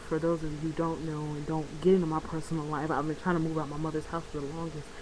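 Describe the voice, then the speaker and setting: A woman speaks quietly at a very fast pace, her pitch very deep and low, with hardly any pauses. Noticeable background noise and audible room echo fill the recording. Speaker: vlogger. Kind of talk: casual vlog monologue. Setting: at home, bedroom. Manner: quieter.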